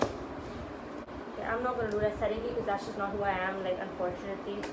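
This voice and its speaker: A woman's fairly high-pitched, fairly quick speech with ordinary pitch variation, set against audible room echo and noticeable background noise. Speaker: vlogger. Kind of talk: casual vlog. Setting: at home. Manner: loud; animated.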